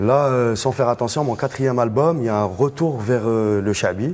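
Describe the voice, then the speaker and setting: This is a normal speaking voice with ordinary pitch variation. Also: man. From Algiers region, Algeria. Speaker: musician, band leader. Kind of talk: panel discussion. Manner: casual.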